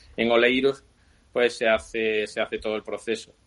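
A man talks at a moderate pace and a medium pitch. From Seville, Spain. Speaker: bicycle frame builder. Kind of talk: interview.

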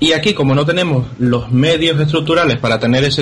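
The speaker has an unremarkable speaking voice, moving at a fairly quick pace with ordinary pitch variation. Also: man. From Canary Islands. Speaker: video game podcast panelist. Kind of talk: casual panel discussion.

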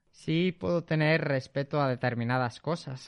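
There's a quiet background as a man talks in an ordinary speaking voice. He moves at a moderate pace with fairly even intonation. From Spain, Zamora (Castile and León). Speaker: math teacher. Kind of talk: interview.

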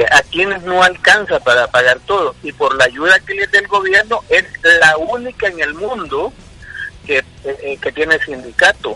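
The sound is dry and close, with no echo, but noticeable background noise is present. The pace is moderate. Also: man. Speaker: football club executive. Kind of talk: radio interview.

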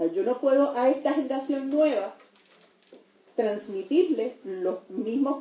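The speaker is a woman. Her voice is high-pitched. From Puerto Rico. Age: 60s. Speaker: lawyer and teacher. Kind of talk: audience comment.

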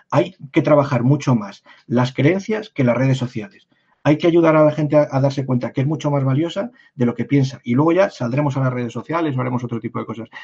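A man's fairly high, somewhat breathy voice at a fairly quick pace, with ordinary pitch variation. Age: 50s. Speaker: personal branding consultant. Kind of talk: interview conversation.

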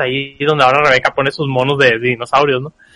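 A bright, sharp tone in a dry, close sound with no echo. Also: man. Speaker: podcast co-host. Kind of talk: casual chat.

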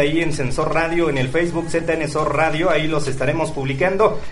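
Amid noticeable background noise and audible room echo, a man speaks at a fairly high pitch and moderate pace. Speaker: radio host. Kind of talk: radio show. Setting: studio.

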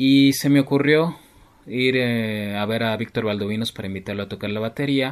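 A man talks in a normal speaking voice at a medium pitch. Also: ordinary pitch variation, moderate pace. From Mexico City. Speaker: keyboardist and composer. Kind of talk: interview.

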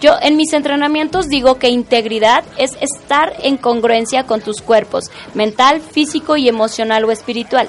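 An animated, high-pitched woman with a Mexican accent, at a moderate pace with hardly any pauses and ordinary pitch variation, over noticeable background noise. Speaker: radio host. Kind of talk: casual interview chat.

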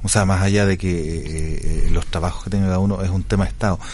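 Speaking at a fairly quick pace with ordinary pitch variation, the voice comes through noticeable background noise and audible room echo. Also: man. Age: 40s. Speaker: radio host. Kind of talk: radio interview.

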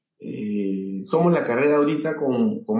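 Amid audible room echo, a man with a Peruvian accent and a fairly high pitch speaks at a very slow pace. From Peru, Lima. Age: 40s. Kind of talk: interview. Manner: halting, many fillers.

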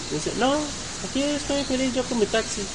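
Noticeable background noise sits behind the recording. A man speaks at a very fast pace. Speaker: podcast host and entrepreneurship teacher. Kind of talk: live podcast chat. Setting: hotel event, live streaming.

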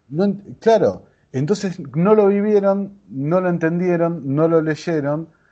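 A man with an Argentine accent and ordinary pitch variation. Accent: Argentine Spanish (Rioplatense). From Argentina. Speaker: podcaster. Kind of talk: interview.

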